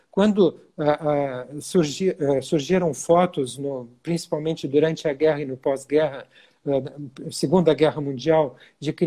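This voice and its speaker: With a dark, mellow tone and a somewhat breathy quality, a man talks at a moderate pace, his pitch fairly high and its variation ordinary. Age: 60s. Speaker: physician. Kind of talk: interview. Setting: Instagram live video. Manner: hesitant, many fillers.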